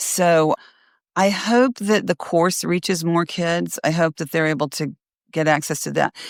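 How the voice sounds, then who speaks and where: This woman has a plain, everyday voice, fairly low in pitch, with an American accent. She talks at a fairly slow pace over a very clean recording with a silent background. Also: ordinary pitch variation, dry, close sound with no echo. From US South. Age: 60s. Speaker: retired teacher and essay coach. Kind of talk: interview.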